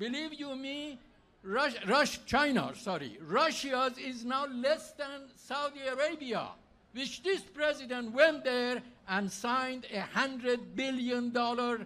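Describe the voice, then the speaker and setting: In a raised, projected voice, a man talks at a very slow pace and an extremely high pitch, with ordinary pitch variation. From Iran. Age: 70s. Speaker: political candidate. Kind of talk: campaign speech.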